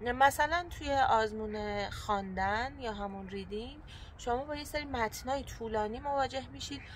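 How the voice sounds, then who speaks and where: Moderately paced speech from a woman, its pitch varying in an ordinary way. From Iran, Persian. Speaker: vlogger and student. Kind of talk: vlog with exam tips. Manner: frequent filler hesitations.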